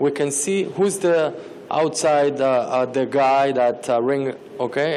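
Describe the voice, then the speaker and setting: Someone with a non-native accent speaks very slowly with fairly even intonation over noticeable background noise. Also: man. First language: not English. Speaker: startup founder pitching. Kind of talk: pitch Q&A answer. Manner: halting, many fillers.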